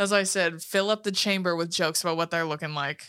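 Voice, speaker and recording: A woman speaks at a fairly quick pace in an animated, bright and sharp tone, on a very clean recording with a silent background. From California. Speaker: podcast co-host. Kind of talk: casual chat.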